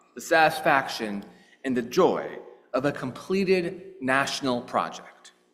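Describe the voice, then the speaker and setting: Audible room echo surrounds a man speaking fairly slowly with very wide pitch swings. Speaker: clergy leading worship service. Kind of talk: sermon.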